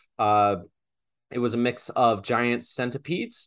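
A man's voice at a medium pitch. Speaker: podcast co-host. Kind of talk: casual chat. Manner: hesitant, frequent fillers and repeats.

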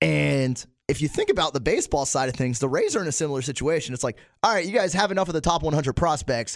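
This man talks at a very fast pace with lively intonation and a fairly high pitch. Vocal fry runs through his voice. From Tampa Bay area, Florida (born in Pittsburgh). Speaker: radio producer and weekend sports radio host. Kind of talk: casual chat. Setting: studio.

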